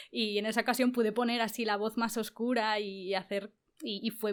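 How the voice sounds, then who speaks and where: This woman has a fairly high pitch. She talks at a fairly quick pace. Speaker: voice actress and youtuber. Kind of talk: interview.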